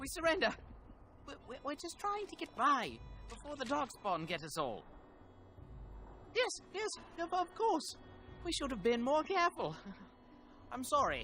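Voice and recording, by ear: Over faint music in the background, a man puts on a character voice at an extremely high pitch with very wide pitch swings and a bright, sharp tone, going at a fairly slow pace with long, frequent pauses.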